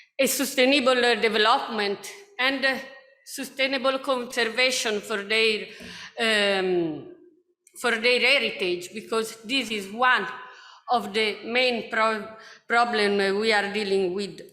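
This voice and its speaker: Speaking with an Italian accent, a woman has a fairly high pitch, a bright, sharp tone and ordinary pitch variation, with audible room echo around her. Her pace is fairly slow and she takes long, frequent pauses. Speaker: researcher. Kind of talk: conference presentation. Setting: conference. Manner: halting.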